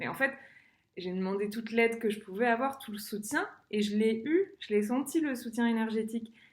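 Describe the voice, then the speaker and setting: Her pitch is fairly high and varies in an ordinary way. The woman's voice sounds somewhat breathy. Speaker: singer sharing personal experience. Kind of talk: personal vlog monologue. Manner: fast; hesitant, many fillers.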